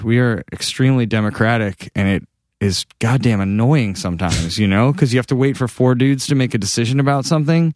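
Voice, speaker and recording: A man with a plain, everyday voice and an American accent speaks at a medium pitch and moderate pace with ordinary pitch variation, in a dry, close sound with no echo on a very clean recording with a silent background. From Massachusetts, New England. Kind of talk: casual interview.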